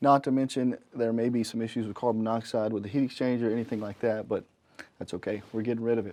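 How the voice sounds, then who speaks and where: A man with a Southern US accent speaks at a very fast pace. His medium-pitched voice has a dark, mellow tone and fairly even intonation. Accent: Southern US (Georgia). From North Georgia, US South. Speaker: HVAC technician and show host. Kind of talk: casual presentation to camera.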